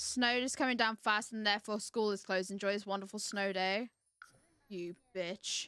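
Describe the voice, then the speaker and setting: A woman with a West Country accent, medium-pitched, at a moderate pace with fairly even intonation, in a dry, close sound with no echo over music in the background. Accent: British, South West England. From Devon, England. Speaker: streamer. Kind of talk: casual livestream gaming talk.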